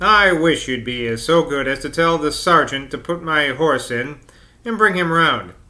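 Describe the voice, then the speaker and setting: Putting on a character voice, a man drawls at a moderate pace in a fairly high pitch. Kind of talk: polite, upper-class. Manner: slow, drawling.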